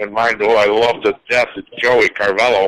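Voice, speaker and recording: Here a man speaks with a Chicago accent. His medium-pitched delivery keeps a fairly even intonation. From Chicago south side. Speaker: interviewer. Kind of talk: casual interview chat.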